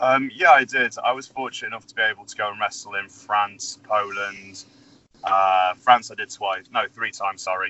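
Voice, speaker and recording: At a moderate pace, a man with an English accent talks with big swings in loudness. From England. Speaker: professional wrestler. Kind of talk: interview.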